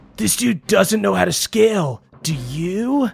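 A put-on character voice at a middle pitch moves at a fairly slow pace. Its pitch swings very widely. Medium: actual play. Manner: cocky, salesy.

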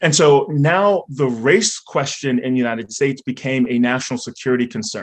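In a normal speaking voice, a man with an American accent talks at a fairly quick pace and a fairly high pitch, with lively intonation and hardly any pauses. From North Carolina, Raleigh. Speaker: author and scholar. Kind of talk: panel discussion. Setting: stage with audience.

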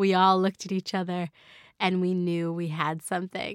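Dry and close with no echo, this very clean recording with a silent background has a woman talking at a fairly quick pace at medium pitch in an unremarkable speaking voice. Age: 30s. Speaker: food tech entrepreneur. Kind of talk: interview.

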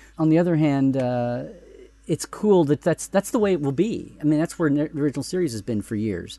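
Here a man has an unremarkable speaking voice with a fairly high pitch and lively intonation. He talks at a fairly quick pace, with a dry, close sound and no echo. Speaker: Star Trek expert guest. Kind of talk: casual panel discussion.

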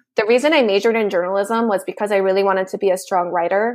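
In a very clean recording with a silent background, a woman uses a normal speaking voice at medium pitch with fairly even intonation. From Nevada, US (Mexican-American family). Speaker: policy advocate, lawyer. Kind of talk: interview.

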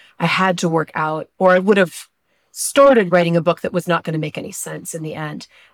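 A woman talks in a plain, everyday voice, fairly low-pitched and at a fairly quick pace, with ordinary pitch variation. Her loudness swings widely, and the sound is dry and close with no echo. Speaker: novelist. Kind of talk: interview.

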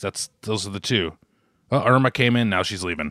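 A man speaks very fast with an American accent. The recording is very clean, with a silent background. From Boston area, US. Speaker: podcast co-host. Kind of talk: casual chat. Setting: at home with his mother nearby.

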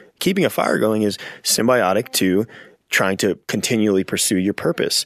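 Here a man uses an unremarkable speaking voice, fairly low in pitch with ordinary pitch variation. He talks fairly quickly, and the sound is dry and close with no echo. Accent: American. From Pennsylvania, Lehigh Valley. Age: 30s. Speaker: Marine veteran and outdoor instructor. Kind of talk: casual interview chat. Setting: studio.

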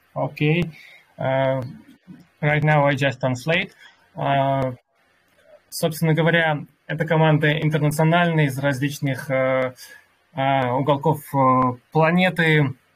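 A man's fairly high-pitched voice at a fairly slow pace, monotone and flat in intonation, very even in loudness, with long, frequent pauses and music in the background. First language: Russian. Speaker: crypto community workshop host and interpreter. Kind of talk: live online workshop moderation and interpreting. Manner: halting with many fillers in English.

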